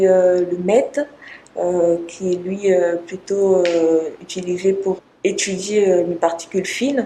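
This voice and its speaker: There is noticeable background noise. A woman talks at a medium pitch with fairly even intonation. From Congo. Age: 20s. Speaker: PhD student researcher. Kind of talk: interview. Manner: hesitant, many fillers.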